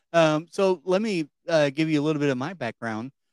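Recorded very cleanly against a silent background, dry and close with no echo, a man with a Kentucky accent speaks at a fairly high pitch with ordinary pitch variation. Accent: Kentucky Southern. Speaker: podcast host. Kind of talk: political discussion; podcast intro.

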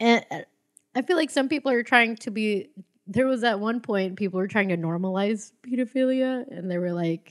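A woman speaks at a moderate pace in an unremarkable speaking voice with ordinary pitch variation. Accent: American. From US, Filipino family. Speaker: stand-up comedian. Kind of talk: casual chat.

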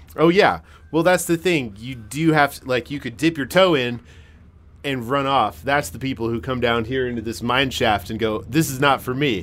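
With an American accent and a plain, everyday voice, a man at medium pitch talks at a moderate pace with lively intonation and big swings in loudness, on a very clean recording with a silent background. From Massachusetts. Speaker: podcast host. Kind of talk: casual interview chat. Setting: underground mine shaft set.

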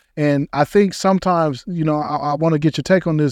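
Speaking at a fairly quick pace with an American accent, a man has a fairly high pitch, with a dry, close sound, no echo, and a quiet background. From Denver, Colorado. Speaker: podcast host. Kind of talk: casual interview. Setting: studio. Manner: animated.

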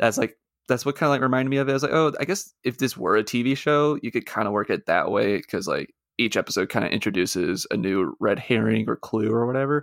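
Over a very clean recording with a silent background, a medium-pitched man speaks very fast with lively intonation, very even loudness and vocal fry. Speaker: co-host of a movie podcast. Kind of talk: casual chat.

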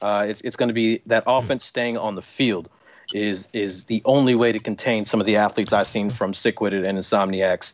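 A man has an ordinary speaking voice, fairly low in pitch, against a quiet background. He talks at a fairly quick pace with fairly even intonation. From US East Coast. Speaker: football referee. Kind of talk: casual chat. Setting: video call.

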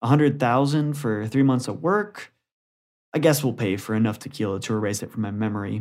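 An ordinary speaking voice from a man at a medium pitch and fairly quick pace, with ordinary pitch variation, in a very clean recording with a silent background. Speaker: short story writer and narrator. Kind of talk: reading aloud.

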